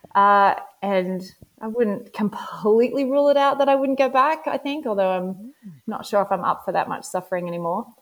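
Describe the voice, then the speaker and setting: A woman with an Australian accent speaks at a fairly quick pace and fairly high pitch, her intonation lively. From Western Australia. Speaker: ultrarunner. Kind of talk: interview.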